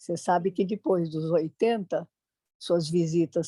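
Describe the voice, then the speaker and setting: A woman with a fairly low-pitched voice speaks in a dark, mellow tone, recorded with a dry, close sound and no echo. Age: 90s. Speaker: longtime tai chi student. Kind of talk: interview.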